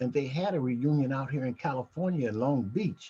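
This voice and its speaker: This man has a dark, mellow tone that is somewhat breathy, speaking with an American accent at a moderate pace with ordinary pitch variation. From Nebraska (Omaha). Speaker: genealogy group organizer. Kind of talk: video call meeting introductions. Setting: video call. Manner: halting.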